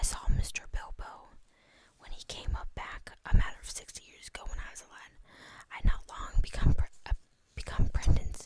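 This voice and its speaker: Someone whispers at a moderate pace. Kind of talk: book reading. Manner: whispered.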